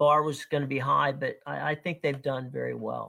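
Recorded very cleanly against a silent background, a man with a fairly high pitch and an ordinary speaking voice talks at a moderate pace. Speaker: sports podcast host. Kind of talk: casual chat.

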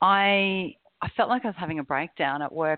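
A woman with an Australian accent speaks at medium pitch with lively intonation. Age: 40s. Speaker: corporate executive in recovery. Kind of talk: personal testimony interview.

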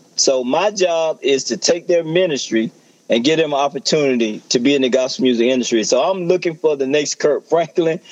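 In a Southern US accent, a man talks at a fairly quick pace and a fairly high pitch, with ordinary pitch variation and very even loudness. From rural US South. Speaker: pastor and gospel music promoter. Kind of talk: promotional talk.

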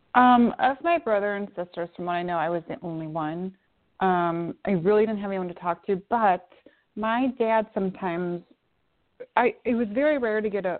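In an unremarkable speaking voice, a woman speaks at a medium pitch and a moderate pace with ordinary pitch variation. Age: 50s. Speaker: spiritual teacher. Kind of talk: casual chat.

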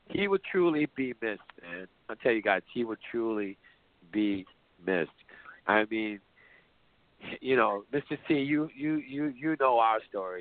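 A man with an American accent speaks at a medium pitch and a fairly slow pace, using lively intonation and long, frequent pauses. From New York. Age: 50s. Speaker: radio host. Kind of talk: memorial radio show with callers.

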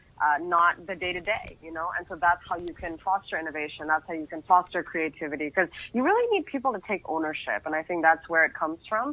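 A woman with an American accent talks at a very fast pace in a fairly low voice. Her loudness swings widely, and there is noticeable background noise. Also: ordinary pitch variation, hardly any pauses. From United States. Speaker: media company CEO and keynote speaker. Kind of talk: interview.

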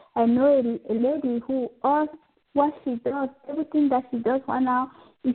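A woman with a high pitch talks at a moderate pace, keeping her intonation fairly even. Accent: French. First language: French. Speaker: spiritual healer and pharmacist. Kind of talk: interview about spiritual healing. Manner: halting, with fillers.

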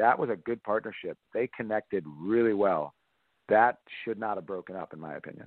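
At a fairly quick pace, an unremarkable speaking voice with an American accent talks with ordinary pitch variation. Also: man, fairly low pitch for a man. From Massachusetts. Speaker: volleyball coach. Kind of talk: interview.

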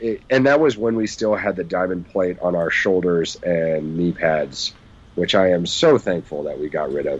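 This man talks at a moderate pace in a very deep, low voice. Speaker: sports podcast co-host. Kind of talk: casual sports podcast chat. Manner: joking, animated.

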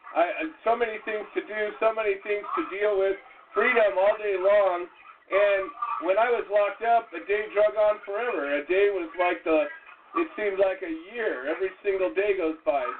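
Pitched high, a man talks at a moderate pace with ordinary variation in pitch while noticeable background noise carries on. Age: 50s. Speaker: talk show host. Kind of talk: casual talk show.

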